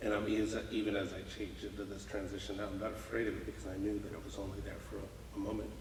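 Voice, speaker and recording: A very fast delivery with hardly any pauses in an American accent, amid audible room echo and noticeable background noise. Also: man. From Muscatine, Iowa, US Midwest (born Houston, Texas). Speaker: business leader, mentor. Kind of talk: podcast interview. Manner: repeats words, halting starts.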